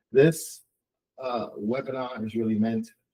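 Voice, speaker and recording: At a fairly slow pace, a man speaks with a dark, mellow tone at medium pitch. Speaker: tech consultant and webinar presenter. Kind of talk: webinar presentation. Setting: online webinar. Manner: halting, many repetitions and fillers.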